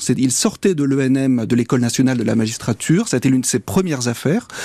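The tone here is dark and mellow, from a male speaker. He uses lively intonation. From northern France, near Douai. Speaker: magistrate and author. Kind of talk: interview. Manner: halting.

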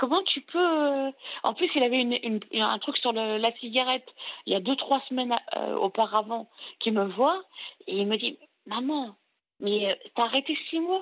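A woman with a high pitch and lively intonation speaks at a fairly slow pace, leaving long, frequent pauses. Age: 40s. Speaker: caller. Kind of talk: call-in confession.

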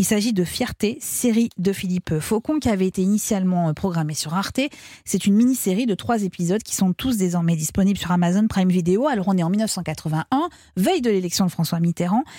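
On a very clean recording with a silent background, a woman speaks at a fairly quick pace in a somewhat breathy, dark, mellow tone. Her medium pitch shows ordinary variation, and her loudness stays very even. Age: 40s. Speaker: podcast host. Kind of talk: scripted narration.

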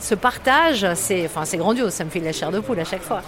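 With lively intonation and a moderate pace, a woman speaks against noticeable background noise. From northern France (Lille area). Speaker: stadium announcer, former radio host. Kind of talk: interview testimony.

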